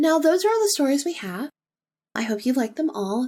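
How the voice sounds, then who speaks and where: At a fairly quick pace, a woman speaks in a dark, mellow tone. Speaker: podcast host. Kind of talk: casual monologue. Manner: calm, with pauses.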